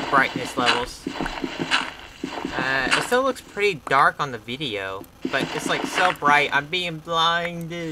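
A man speaks at a very slow pace with very wide pitch swings and hardly any pauses. Loud background noise fills the recording. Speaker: game player. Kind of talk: casual gameplay commentary. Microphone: camera far.

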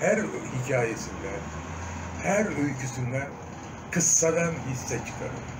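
A man talks very slowly while noticeable noise sounds in the background. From Diyarbakır, Turkey. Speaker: stage and film actor. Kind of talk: interview answer. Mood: earnest, reflective. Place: home room. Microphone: phone near.

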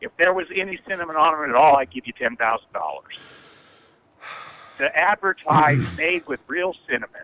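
At a fairly quick pace, a man is speaking. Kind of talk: angry phone complaint. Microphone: phone line.

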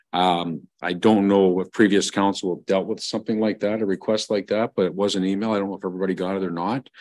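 A man's fairly low, flat monotone in a Canadian accent, very fast with hardly any pauses. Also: quiet background. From Ontario, Canada. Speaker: mayor chairing council meeting. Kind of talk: council meeting. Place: meeting room. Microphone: podium.

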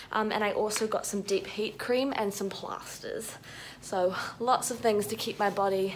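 A woman at a moderate pace, monotone and flat in intonation, over light background noise. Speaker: dance student vlogger. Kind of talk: casual vlog chat. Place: home room. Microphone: phone near.

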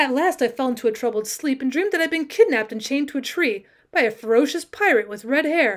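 An animated tone at a very fast pace, with very wide pitch swings. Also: woman, high pitch for a woman. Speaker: audiobook narrator and teacher. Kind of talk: dramatic narration of a classic short story. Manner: animated, voicing characters with comic flair.

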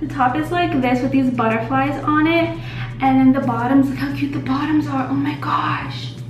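A woman talks at a moderate pace, with music faintly present behind her. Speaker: vlogger. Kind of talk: casual vlog chat. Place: bathroom. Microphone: phone near.

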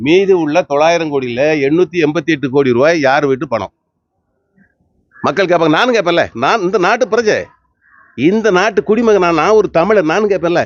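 A man talks with a high pitch and lively intonation. His loudness stays very even throughout. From Tirunelveli, Tamil Nadu. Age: old. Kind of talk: street interview answer.

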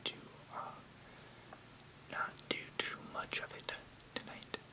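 Soft-spoken and whispering, a man talks at a very slow pace with noticeable background noise. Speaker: video creator. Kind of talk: casual explanatory vlog, reading technical text. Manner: soft close-mic whisper. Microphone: webcam.

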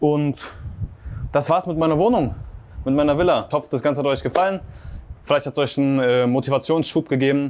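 Fairly high in pitch, a man talks at a fairly quick pace with ordinary pitch variation. He leaves long, frequent pauses. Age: 20s. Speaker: agency owner and vlogger. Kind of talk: sales pitch; house tour vlog. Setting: outdoors by the sea. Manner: casual, animated. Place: home room. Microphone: lapel.

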